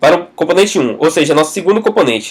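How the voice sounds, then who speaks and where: Speaking at a fairly quick pace, a man talks in a fairly high pitch. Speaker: programming tutor. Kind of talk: tutorial. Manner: fast.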